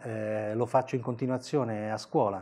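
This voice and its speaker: The pace is moderate. A dark, mellow tone runs through the voice. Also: man. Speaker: comic artist and teacher. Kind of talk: interview answer. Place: studio.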